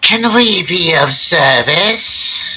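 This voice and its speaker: In a put-on character voice, a female-sounding voice comes out husky, raspy, and fairly high-pitched for a woman. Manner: polite, eerie.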